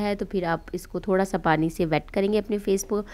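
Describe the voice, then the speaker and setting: Her intonation monotone and flat, a woman speaks in a very clean recording with a silent background. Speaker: beauty vlogger. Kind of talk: tutorial.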